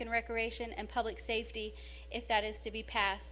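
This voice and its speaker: Someone with an American accent talks at a fairly quick pace. Room echo is audible. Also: woman. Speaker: mayor. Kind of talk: council meeting report. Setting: city council meeting.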